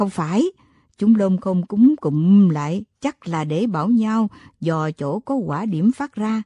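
Over a quiet background, plain reading aloud marked by lively intonation

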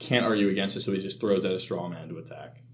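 The man speaks with monotone, flat intonation. Audible room echo fills the recording. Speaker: student podcast co-host. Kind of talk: casual chat.

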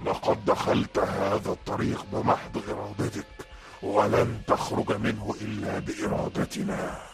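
A man puts on a character voice, fairly low in pitch and very slow. Loud music plays behind him. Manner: terrifying, screaming.

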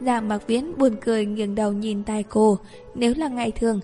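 The speaker reads in a natural reading voice, keeping the intonation fairly even.

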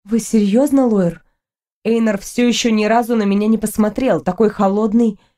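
Fairly even intonation shapes this natural reading voice, heard against a quiet background.

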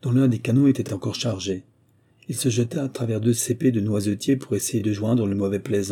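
Reading aloud in a natural voice, with ordinary pitch variation.

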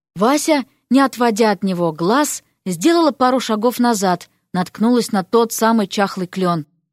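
The background stays quiet. Over it comes an unforced reading voice.

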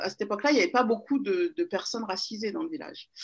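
A woman is speaking. Her pitch swings very widely. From Paris region, France. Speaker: magazine founder and DJ. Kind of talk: interview. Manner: hesitant, many fillers.

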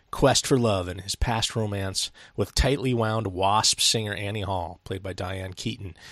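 A man with an unremarkable speaking voice talks at a moderate pace and a fairly low pitch. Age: 40s. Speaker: film review podcast host. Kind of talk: casual chat.

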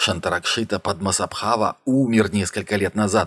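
A man speaks in a put-on character voice. His pitch is fairly low and his pace moderate. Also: fairly even intonation. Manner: happy, cheerful.

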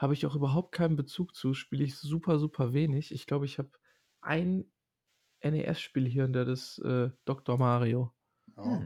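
On a very clean recording with a silent background, a man with a fairly high pitch and a dark, mellow tone sounds somewhat breathy, keeping fairly even intonation at a moderate pace with long, frequent pauses. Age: 30s. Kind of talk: casual chat.

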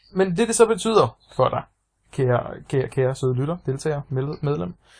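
A man's somewhat breathy voice, fairly high in pitch, at a fairly slow pace. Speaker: podcast co-host. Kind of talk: casual chat.

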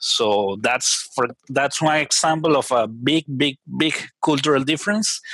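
Here a man talks at a fairly slow pace with a fairly high pitch and a bright, sharp tone. His pitch variation is ordinary and his loudness very even. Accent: Spanish. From Venezuela. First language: Spanish. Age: 30s. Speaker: software engineer. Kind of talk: interview conversation.

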